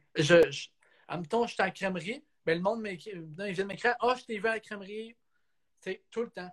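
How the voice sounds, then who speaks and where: A man in a Quebec accent speaks at a moderate pace in a high pitch with ordinary pitch variation, long, frequent pauses and big swings in loudness. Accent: Québécois French. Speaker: photographer and videographer, hockey coach and referee. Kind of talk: casual interview.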